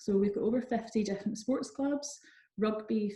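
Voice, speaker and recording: With a Scottish accent, a woman talks at a moderate pace in a fairly high, somewhat breathy voice with a dark, mellow tone. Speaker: university recruitment manager. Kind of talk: online seminar presentation; answering audience questions. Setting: online seminar.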